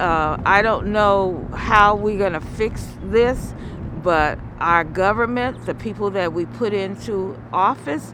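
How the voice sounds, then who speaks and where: Amid noticeable background noise, a woman speaks at a very slow pace with ordinary pitch variation. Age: 70s. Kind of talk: interview answer.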